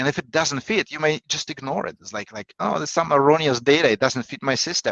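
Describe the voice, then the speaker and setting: A man with a Russian accent speaks at a very fast pace in a fairly high pitch with ordinary pitch variation. His loudness swings a lot, and the sound is dry and close with no echo. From Russia, Saint Petersburg. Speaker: negotiation coach. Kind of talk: podcast interview. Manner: halting.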